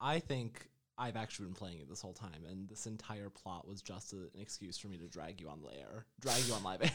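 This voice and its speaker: In an unremarkable speaking voice with an American accent, a man talks at a fairly quick pace, fairly low in pitch. He hardly pauses, and his loudness swings widely. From New York. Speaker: podcast co-host. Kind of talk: casual chat.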